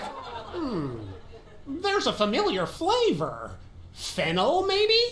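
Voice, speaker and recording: In a put-on character voice with a theatrical, pompous tone, the speaker delivers lines at a very slow pace and high pitch over clear background noise. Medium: video game.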